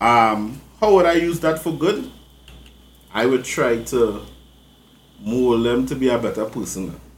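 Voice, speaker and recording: Amid audible room echo, a man talks at a fairly slow pace with lively intonation and long, frequent pauses. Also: medium pitch for a man. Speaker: podcast host. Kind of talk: casual chat.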